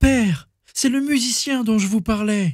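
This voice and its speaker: A man puts on a character voice pitched high, speaking at a moderate pace. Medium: read story. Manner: passionate, defiant.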